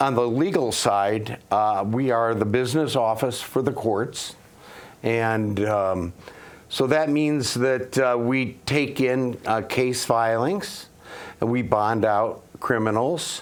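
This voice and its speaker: Speaking very slowly with an American accent, the voice shows ordinary pitch variation amid audible room echo. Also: man, medium pitch for a man, very even loudness. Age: 60s. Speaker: local election candidate. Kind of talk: interview. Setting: studio. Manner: halting, many fillers.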